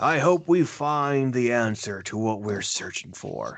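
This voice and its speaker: At a fairly slow pace, a man uses a put-on character voice pitched in the medium range. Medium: actual play. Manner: gentle, friendly.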